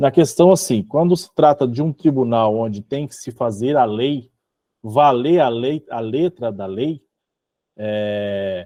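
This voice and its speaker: A man with a strong Minas Gerais accent speaks at a very slow pace, his dark, mellow tone carrying lively intonation in a dry, close sound with no echo. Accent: self-described strong Minas Gerais. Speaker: religious study group leader. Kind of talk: online group study session with reading aloud.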